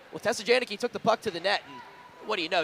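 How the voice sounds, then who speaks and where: A man's energetic voice with ordinary pitch variation, over noticeable background noise. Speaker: ice hockey TV play-by-play announcer. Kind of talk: live sports play-by-play commentary. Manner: fast, energetic.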